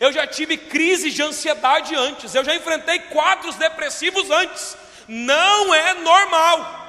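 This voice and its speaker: Noticeable background noise sits behind a man's raised, projected voice. He speaks at a fairly slow pace with ordinary pitch variation. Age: 20s. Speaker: pastor. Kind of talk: sermon. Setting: church.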